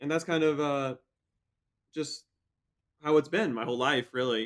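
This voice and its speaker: Speaking at a moderate pace, a man with an ordinary speaking voice and fairly high pitch shows ordinary pitch variation on a very clean recording with a silent background. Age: 20s. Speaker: professional triathlete. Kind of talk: casual interview chat.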